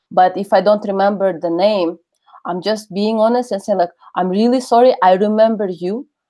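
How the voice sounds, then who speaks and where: A woman speaks in a Russian accent with ordinary pitch variation. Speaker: webinar speaker on networking. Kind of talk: webinar talk and Q&A. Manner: halting, many fillers.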